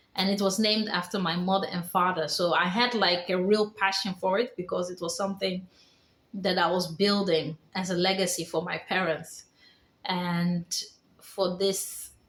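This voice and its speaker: At a fairly slow pace, a woman speaks in a medium pitch with monotone, flat intonation. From Netherlands. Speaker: vlogger. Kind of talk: personal testimony vlog.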